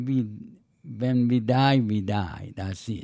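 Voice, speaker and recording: Dark and mellow in tone, a man with a Persian accent talks at a medium pitch. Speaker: interviewee, host's father. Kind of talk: casual chat. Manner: halting.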